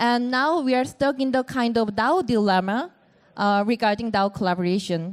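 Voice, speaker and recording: This woman has a fairly high pitch and a Korean accent, speaking at a fairly slow pace. The recording is very clean, with a silent background. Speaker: panel moderator. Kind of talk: panel discussion moderation. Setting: stage with audience at event.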